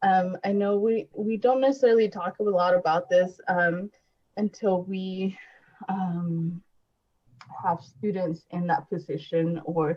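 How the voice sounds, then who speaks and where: Somewhat breathy, a woman speaks at a fairly slow pace. Her pitch is medium. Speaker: podcast host, college support program staff. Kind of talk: podcast discussion. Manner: halting, many fillers.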